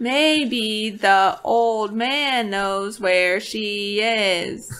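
A put-on character voice, female-sounding and fairly high in pitch for a woman, delivered at a very slow pace.

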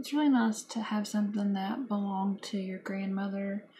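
Light background noise sits behind a woman speaking at a moderate pace. Her tone is dark and mellow, and somewhat breathy. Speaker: vintage collector vlogger. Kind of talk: casual vlog chat. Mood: calm, slightly wistful. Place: home room. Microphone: phone near.

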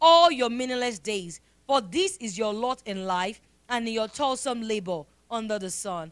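A woman speaks with lively intonation. Her pace is fairly slow. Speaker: prayer leader. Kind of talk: congregational prayer; fervent prayer, pleading and rising in intensity. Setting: church. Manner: fervent, emphatic, repeating phrases; earnest, rhythmic, rising in pitch with passion. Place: church. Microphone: handheld.

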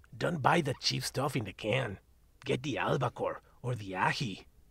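A man speaks in a put-on character voice with a raspy edge, at medium pitch and a moderate pace. The recording is very clean, with a silent background. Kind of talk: audio drama dialogue. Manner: gruff, sardonic.

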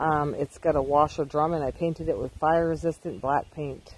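The pace is moderate. The sound is dry with no echo, with light background noise. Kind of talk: casual vlog chat. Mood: relaxed, proud. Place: garden. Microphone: phone near.

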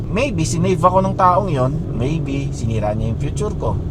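Noticeable background noise is audible throughout. Over it, a man speaks at a moderate pace. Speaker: vlogger. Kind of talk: casual monologue. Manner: rambling conversational with fillers.

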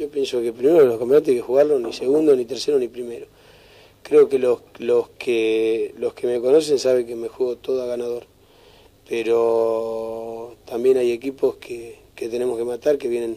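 A man speaks in a dark, mellow tone. His intonation stays flat and monotone. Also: moderate pace. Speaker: football coach. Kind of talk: interview answer. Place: home room.

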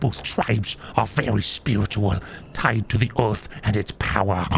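A man speaks in a put-on character voice with a fairly low pitch, and clear background noise is heard behind him. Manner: bitter, vengeful.

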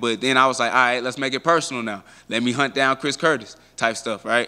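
Against a quiet background, a man talks at a very fast pace. His tone is bright and sharp, with fairly even intonation. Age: 20s. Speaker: professional MMA fighter. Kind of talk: media interview. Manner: casual, filler-heavy. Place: hall. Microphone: handheld.

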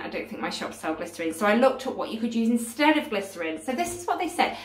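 Audible room echo surrounds a woman as she speaks. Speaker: craft vlogger. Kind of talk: casual vlog chat. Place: home room. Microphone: phone near.

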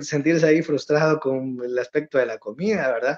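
Fairly high-pitched for a man, this speaker's voice shows ordinary pitch variation against a quiet background. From El Salvador, Santiago Texacuangos; El Salvador. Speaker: emigrant content creator. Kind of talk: casual interview. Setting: remote video call. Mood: warm, a bit nostalgic. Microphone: phone near.

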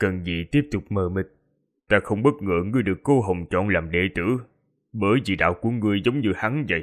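A man talks at a moderate pace and fairly low pitch, with ordinary pitch variation, over a quiet background. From Vietnam. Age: young. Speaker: audiobook narrator. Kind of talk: reading aloud. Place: home room.

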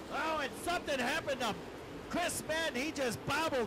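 Amid noticeable background noise, a man speaks in a raised, projected voice with ordinary pitch variation. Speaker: dirt track race announcer. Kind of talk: live race announcing, play-by-play. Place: booth.

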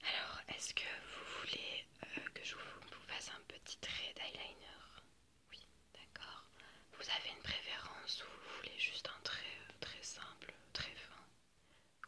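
Whispering at a very slow pace, a woman's voice rises and falls sharply in loudness. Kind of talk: role-play makeup chat, ASMR-like. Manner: soft close ASMR murmur. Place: home room.

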